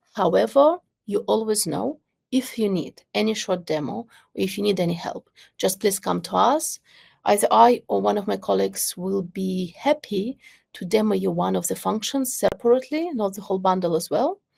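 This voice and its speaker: With a quiet background, a woman talks at a moderate speed. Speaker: product owner presenting software; webinar presenter. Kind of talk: webinar presentation. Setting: video call webinar. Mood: warm, friendly.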